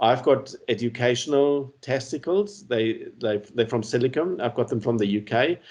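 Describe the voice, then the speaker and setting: A man with a German accent, medium pitch, lively intonation and a moderate pace. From Namibia. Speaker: cancer survivor and awareness speaker. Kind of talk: casual interview.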